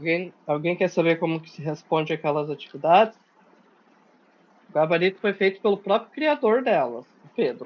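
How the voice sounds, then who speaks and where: Talking at a moderate pace with long, frequent pauses, a man with a high pitch uses lively intonation and big swings in loudness. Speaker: programming workshop teacher. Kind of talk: online lecture.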